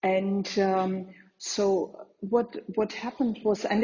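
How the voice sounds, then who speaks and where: In a German accent, a woman speaks at a medium pitch with fairly even intonation. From Germany. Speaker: entrepreneur, community founder. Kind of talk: interview answer.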